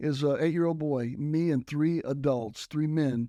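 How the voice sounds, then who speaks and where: This man has a fairly high pitch, a dark, mellow tone and a Texan accent, speaking at a moderate pace with ordinary pitch variation. The recording is very clean, with a silent background and a dry, close sound with no echo. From South Texas (McAllen). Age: 60s. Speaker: retired motocross racer and minister. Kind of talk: interview.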